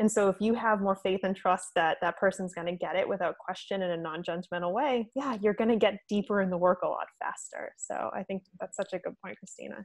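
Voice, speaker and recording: A woman with an American accent uses a normal speaking voice at a medium pitch, talking at a fairly quick pace with hardly any pauses and ordinary pitch variation in a dry, close sound with no echo. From Italian American, US. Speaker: podcast co-host, nutritionist. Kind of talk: casual interview chat.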